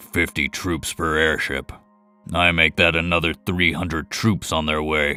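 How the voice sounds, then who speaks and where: A man growls in a put-on character voice, very deep and low, with monotone, flat intonation at a moderate pace. Faint music plays in the background. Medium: read story. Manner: dry, understated.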